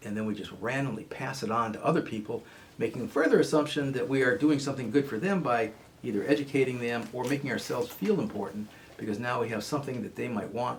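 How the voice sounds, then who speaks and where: A man talks at a very fast pace over noticeable background noise. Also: medium pitch for a man, ordinary pitch variation. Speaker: radio host, therapist. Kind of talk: radio talk show monologue. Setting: radio studio. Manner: fast when excited.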